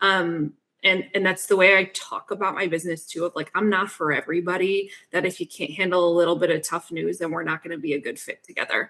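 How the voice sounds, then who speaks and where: In an American accent, a woman with a fairly low pitch and a bright, sharp tone talks at a fairly quick pace with fairly even intonation. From US Northeast. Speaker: fractional CFO. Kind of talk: podcast interview. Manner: direct, assertive.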